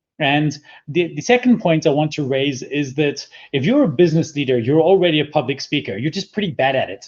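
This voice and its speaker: Fairly quick, somewhat breathy speech from a man with a fairly high pitch and lively intonation. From Scotland. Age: 40s. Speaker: public speaking coach and entrepreneur. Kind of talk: interview.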